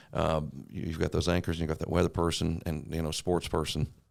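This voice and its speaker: Very deep and low, a man's voice moves at a very fast pace with a slight Eastern Kentucky accent. The recording is very clean, with a silent background. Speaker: TV meteorologist. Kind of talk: casual chat.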